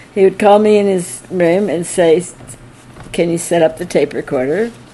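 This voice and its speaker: In an American accent, the speaker goes at a moderate pace with ordinary pitch variation over noticeable background noise. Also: woman. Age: 80s+. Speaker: early disciple of a spiritual teacher. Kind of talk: anniversary talk, reminiscence. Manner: halting.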